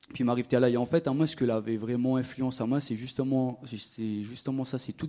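Against a quiet background, a man in a plain, everyday voice speaks at a fairly quick pace with medium pitch and fairly even intonation. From Réunion, Le Tampon (south). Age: 20s. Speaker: rapper and percussionist. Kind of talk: live panel conversation. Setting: stage with audience.

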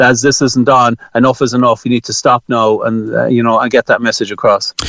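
With an Irish accent, a man talks at a fairly quick pace, his medium-pitched voice keeping a fairly even intonation. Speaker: general practitioner. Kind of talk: radio interview. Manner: halting, repeats words.

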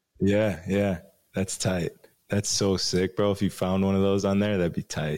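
In a Chicago accent, a man talks in a flat monotone at a fairly low pitch with very even loudness, and the recording is very clean with a silent background. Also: moderate pace. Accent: Chicago American. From Chicago, US Midwest. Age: 30s. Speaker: DJ and radio co-host. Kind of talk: casual interview chat.

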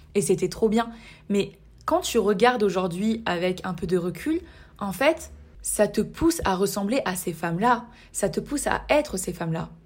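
In a very clean recording with a silent background, a woman speaks at a fairly slow pace in a medium, somewhat breathy voice with lively intonation. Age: 20s. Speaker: podcast host. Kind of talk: solo podcast monologue.

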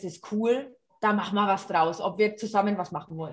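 The speaker sounds somewhat breathy, talking at a moderate pace with ordinary pitch variation. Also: woman. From Franconia, Germany. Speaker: rock singer. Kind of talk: interview.

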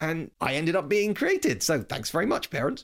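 A man with a British accent and very wide pitch swings, on a very clean recording with a silent background. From Britain. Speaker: history podcast host. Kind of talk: scripted-style solo talk about film history. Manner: conversational, informal.

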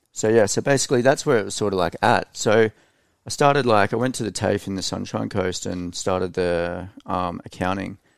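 Here a man with an Australian accent speaks at a fairly low pitch and a fairly quick pace, with ordinary pitch variation. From Australia (Queensland, Hervey Bay). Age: 30s. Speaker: e-commerce entrepreneur. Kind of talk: casual chat. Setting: studio.

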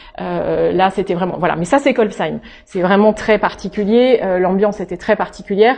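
A woman speaks at medium pitch and a moderate pace with ordinary pitch variation. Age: 40s. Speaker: pastor. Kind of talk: talk. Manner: halting.

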